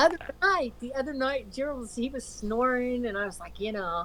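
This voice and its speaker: The intonation is lively and the pace fairly quick. Noticeable background noise runs underneath. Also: woman. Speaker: live stream host. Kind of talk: casual chat. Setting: voip call. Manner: soft-spoken.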